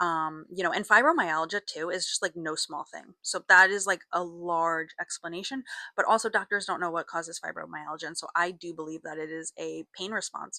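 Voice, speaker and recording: Recorded very cleanly against a silent background, with a dry, close sound and no echo, a woman with a fairly low pitch and a bright, sharp tone speaks at a moderate pace, her loudness swinging widely. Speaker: doll content creator. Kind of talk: personal testimony monologue. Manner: casual, halting with fillers.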